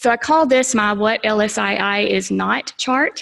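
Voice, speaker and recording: A woman is speaking. She has a Southern US accent. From US South. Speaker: space agency technology manager. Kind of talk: conference presentation. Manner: fast; animated.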